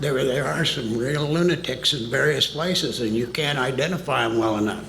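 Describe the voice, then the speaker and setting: A man talks with audible room echo and noticeable background noise in the recording. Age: 80s+. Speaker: witness, former government employee. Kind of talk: hearing testimony. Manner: halting.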